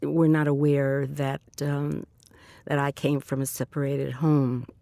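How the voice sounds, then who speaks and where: A woman speaks with a New York accent in a very deep, low pitch and a dark, mellow tone. The recording is very clean, with a silent background. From New York City (the Bronx). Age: 70s. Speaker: interviewee telling her life story. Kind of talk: oral history interview. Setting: recording booth in a train station. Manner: halting, many fillers.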